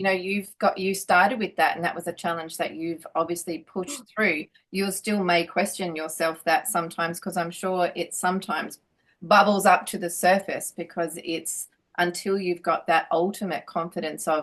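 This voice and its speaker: At a moderate pace, a woman talks with fairly even intonation and a fairly low pitch. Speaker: interviewer. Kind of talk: interview questions. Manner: hesitant, many filler words.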